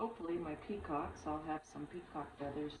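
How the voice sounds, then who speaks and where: Mumbling at a moderate pace, a woman speaks in a room with audible echo and noticeable background noise. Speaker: resin crafting YouTuber. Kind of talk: casual crafting tutorial. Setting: at home with dogs and chickens. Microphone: no microphone, camera mic.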